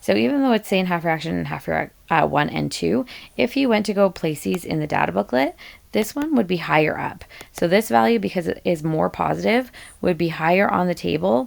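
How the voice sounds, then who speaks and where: In a very clean recording with a silent background, a woman's voice swings very widely in pitch. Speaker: high school chemistry teacher. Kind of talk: tutorial. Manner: fast; halting, many fillers.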